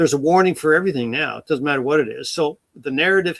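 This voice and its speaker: An unremarkable speaking voice with ordinary pitch variation, dry and close with no echo. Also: man. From Nova Scotia, Canada. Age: 60s. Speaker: retired wildfire investigator and author. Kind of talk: interview.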